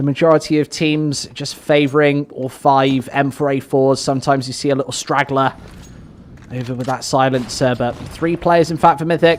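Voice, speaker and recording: With a British accent, a man speaks at a fairly high pitch in a monotone, flat intonation. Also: moderate pace. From Britain. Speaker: esports caster. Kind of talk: live commentary.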